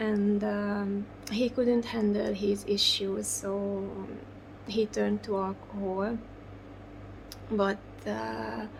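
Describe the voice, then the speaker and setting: A woman with a Hungarian accent talks at a very slow pace with long, frequent pauses, against noticeable background noise. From Hungary, Budapest. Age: 40s. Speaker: doll artist. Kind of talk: interview. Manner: halting.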